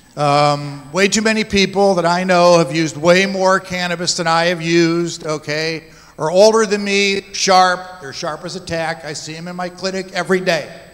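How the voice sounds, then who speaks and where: A man's high-pitched voice with fairly even intonation, big swings in loudness, and noticeable background noise. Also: moderate pace. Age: 60s. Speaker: physician, panel moderator. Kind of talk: panel discussion. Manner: candid, conversational.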